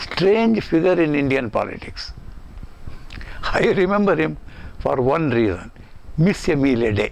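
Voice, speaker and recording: There is noticeable background noise and audible room echo. A man talks at a fairly slow pace and a fairly high pitch, with very wide pitch swings. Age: 80s+. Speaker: public figure giving a tribute. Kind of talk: recorded tribute.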